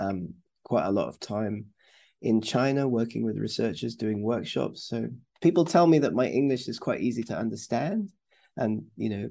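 A man's fairly low, dark, mellow voice with a slightly husky edge, vocal fry, and lively intonation. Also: moderate pace.

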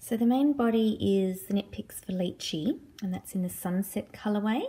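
A somewhat breathy voice with ordinary pitch variation. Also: woman. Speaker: knitting podcaster. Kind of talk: casual vlog chat. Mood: relaxed, friendly. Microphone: phone near.

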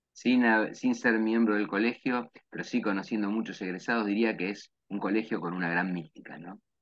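A man speaks at a moderate pace in a Rioplatense accent, with a fairly low pitch. His intonation stays fairly even, and the background is quiet. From Argentina, Lomas de Zamora; Argentina. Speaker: university professor and event host; university professor, event host. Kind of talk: interview. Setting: video call. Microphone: webcam.

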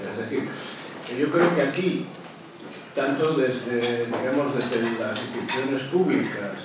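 There is strong room echo and noticeable background noise as a man speaks at a fairly slow pace. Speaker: audience member. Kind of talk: question-time comment. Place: hall.

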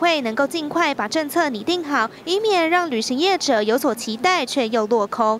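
Very wide pitch swings at a moderate pace. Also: woman. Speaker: TV news reporter. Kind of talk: news report narration.

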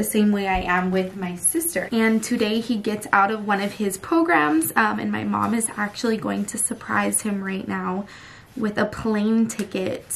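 With hardly any pauses and ordinary pitch variation, the speech comes over light background noise. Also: woman. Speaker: family vlogger. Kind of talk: casual vlog chat. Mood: serious, emotional family topic. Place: home room. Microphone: phone near.

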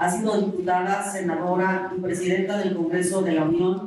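At a moderate pace, a woman speaks in a monotone, flat intonation amid strong room echo and light background noise. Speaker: panel moderator. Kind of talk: moderated panel discussion. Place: hall.

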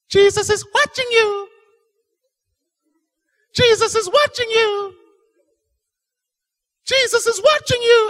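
A put-on character voice, extremely high in pitch and shrill, speaks at a fairly slow pace. Long pauses come often. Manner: repetitive, startling.

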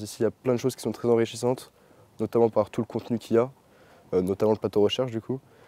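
Talking at a very fast pace, a man delivers flat, monotone speech in a dark, mellow tone, recorded dry with no echo. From France, Chartres; France. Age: young. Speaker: equestrian trainee. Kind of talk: testimony. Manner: halting, many fillers. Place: open country.

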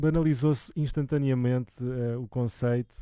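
In a very clean recording with a silent background, a man speaks with a European Portuguese accent, a medium pitch, ordinary pitch variation, a dark, mellow tone and a dry, close sound with no echo. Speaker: music channel host. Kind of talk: casual interview. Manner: halting.

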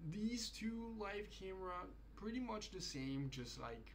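A non-native accent at a fairly slow pace, with light background noise. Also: man. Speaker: product presenter practising. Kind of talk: trade show product pitch, repeated takes. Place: home room. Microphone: studio mic.

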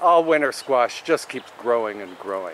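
A man speaks with a dry sound and no echo. Light background noise sits behind him. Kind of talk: tutorial. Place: garden. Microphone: phone near.

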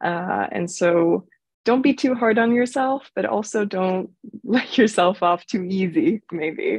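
With an American accent, a woman talks at a very slow pace and with lively intonation, her dry sound carrying no echo over a quiet background. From Sweden. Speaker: business student; panelist. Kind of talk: panel discussion. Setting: video call. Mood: friendly, upbeat. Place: home room. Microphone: video call.

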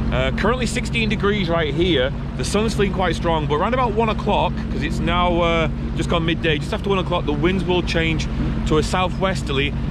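Amid loud background noise, a man speaks at a fairly quick pace in a dry sound with no echo. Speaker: vlogger. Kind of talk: casual vlog chat. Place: boat. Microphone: phone near.

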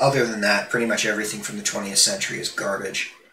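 Speaking at a very fast pace, a man with a fairly low pitch is heard amid noticeable background noise and audible room echo. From India. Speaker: YouTuber. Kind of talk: casual monologue. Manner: halting.

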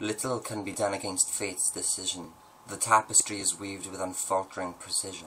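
Over light background noise, a man talks at a fairly quick pace. His pitch is fairly low and his intonation is monotone and flat. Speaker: poet and video host. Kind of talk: poetry reading. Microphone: webcam.

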